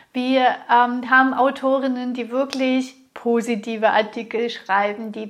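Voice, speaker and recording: A woman speaks at a very slow pace in a fairly high pitch, her intonation monotone and flat. Noticeable background noise runs under her voice. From Russia. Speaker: business coach and podcast host. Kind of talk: solo podcast monologue.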